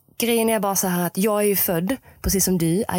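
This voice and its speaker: In a normal speaking voice, a woman talks at a moderate pace and medium pitch with ordinary pitch variation, in a very clean recording with a silent background. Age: 20s. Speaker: mental coach for equestrians. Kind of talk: solo podcast monologue.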